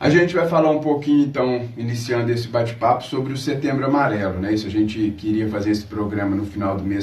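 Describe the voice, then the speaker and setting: A man uses a normal speaking voice at a fairly quick pace. His pitch varies in an ordinary way. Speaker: radio host. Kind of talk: radio talk show interview.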